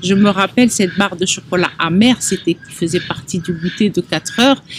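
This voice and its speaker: Noticeable background noise sits under a dry, close sound with no echo. A woman talks at a moderate pace and medium pitch with ordinary pitch variation. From Algeria (Oran). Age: 60s. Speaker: chocolate artisan. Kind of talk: interview testimony.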